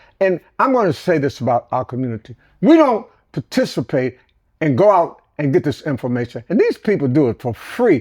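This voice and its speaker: In a dry, close sound with no echo, a man speaks with a fairly high pitch. His pitch swings very widely against a quiet background. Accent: American. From US Midwest, Detroit. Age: 80s+. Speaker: elder storyteller. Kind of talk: interview. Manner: animated.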